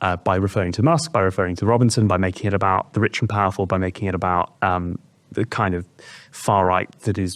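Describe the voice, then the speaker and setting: A man with a British accent talks at a very fast pace in a fairly low pitch, his pitch varying in an ordinary way, on a very clean recording with a silent background. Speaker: political commentator. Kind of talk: political discussion. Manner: halting, with many fillers.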